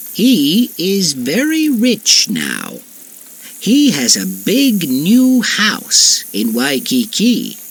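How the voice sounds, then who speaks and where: Using a put-on character voice, a man speaks very slowly at a high pitch with very wide pitch swings. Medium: read story.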